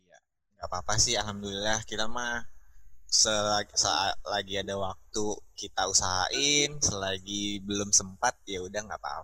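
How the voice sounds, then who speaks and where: A fairly low-pitched man with a Batam accent, bright and sharp in tone, ordinary pitch variation, and big swings in loudness. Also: moderate pace. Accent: Batam accent noticeable. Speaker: podcast guest. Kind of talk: casual chat.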